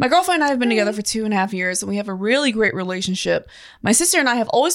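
Lively intonation in a natural voice reading aloud.

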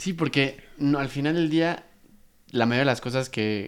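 The recording is very clean and the background silent. A man speaks at a moderate pace. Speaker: podcast host. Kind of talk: casual chat.

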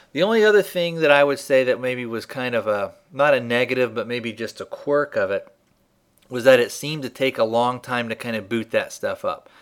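This man has a normal speaking voice with medium pitch and ordinary pitch variation, moving at a fairly quick pace. The recording is very clean with a silent background. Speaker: podcast host. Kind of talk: casual podcast hosting. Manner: informal, friendly.

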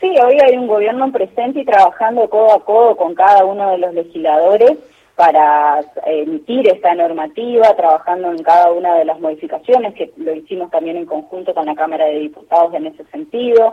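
A woman talks in an ordinary speaking voice at a medium pitch. Her pace is fairly quick and her intonation lively. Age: 30s. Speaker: senator. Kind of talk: radio interview.

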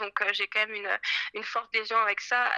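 A woman is speaking. Her voice sounds dry and close, with no echo. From France, Paris. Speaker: fashion designer. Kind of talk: interview.

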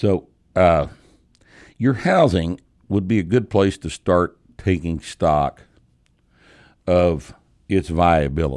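A man with a very deep, low pitch and a Texas accent, very slow with long, frequent pauses and ordinary pitch variation, in a very clean recording over a silent background. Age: 60s. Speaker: podcast host and strength coach. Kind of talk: casual chat. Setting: studio.

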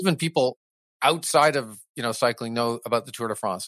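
A man's voice, with typical rise and fall in pitch, sounds close-up and dry, free of any echo. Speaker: race announcer. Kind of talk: casual interview chat. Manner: animated, enthusiastic; fluent, hesitant with fillers.

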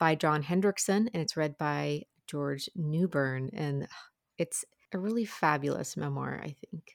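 In an ordinary speaking voice with a fairly low pitch, a woman talks at a moderate pace, the sound dry and close with no echo on a very clean recording with a silent background. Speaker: audiobook reviewer. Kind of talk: casual chat.

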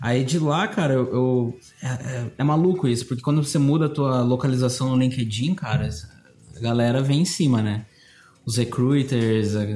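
A somewhat breathy male voice of medium pitch, dark and mellow in tone, at a moderate pace with very even loudness and ordinary pitch variation. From Brazil, interior of Paraná (Cascavel). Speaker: art director. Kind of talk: casual interview chat.

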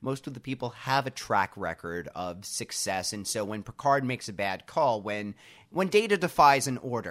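A man speaks at medium pitch with an American accent. The recording is very clean, with a silent background. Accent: own accent, noticeable on some words. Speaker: podcast co-host. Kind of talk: casual chat.

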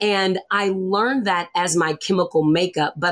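A woman with an American accent and a plain, everyday voice speaks at a fairly slow pace and a fairly low pitch, with ordinary pitch variation. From US South. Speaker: business coach. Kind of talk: interview.

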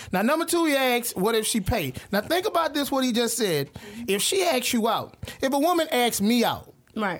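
At a moderate pace, a man talks in an extremely high pitch with lively intonation and an animated tone, his loudness very even over noticeable background noise. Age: 30s. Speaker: podcast panelist. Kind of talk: casual chat.

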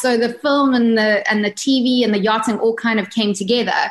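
A woman with a fairly high pitch, fairly even intonation and a South African accent, over noticeable background noise. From South Africa, Durban area (East Coast). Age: 30s. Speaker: yacht crew member and book author. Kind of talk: casual interview chat.

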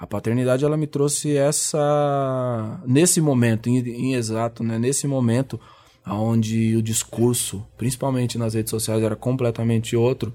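A man's dark, mellow voice at medium pitch, with fairly even intonation and a moderate pace. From Brazil. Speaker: rapper. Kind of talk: interview.

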